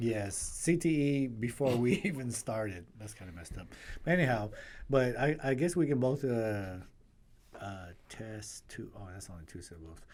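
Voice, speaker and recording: A man speaks with a non-native accent at medium pitch. His pitch swings very widely, and his loudness rises and falls sharply. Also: moderate pace. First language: not English. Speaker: podcast co-host. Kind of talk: casual chat.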